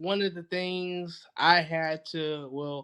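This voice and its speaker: A man's high-pitched voice with a Southern US accent, at a very slow pace. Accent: Southern US (Georgia). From US South, Georgia. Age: 30s. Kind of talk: podcast interview.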